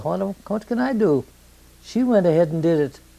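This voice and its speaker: A woman speaks at a fairly quick pace with an Upper Midwest accent. Her pitch swings very widely. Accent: Upper Midwest American. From southern Minnesota. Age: 90s. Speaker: elderly interviewee. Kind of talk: oral history interview.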